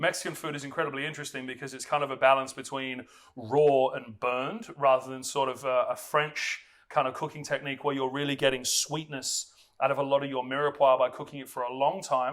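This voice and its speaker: With an Australian accent, a man talks at a fairly quick pace and fairly high pitch, his intonation fairly even but his loudness swinging widely. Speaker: chef. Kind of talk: cooking tutorial. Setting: home kitchen. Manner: casual, chatty with fillers.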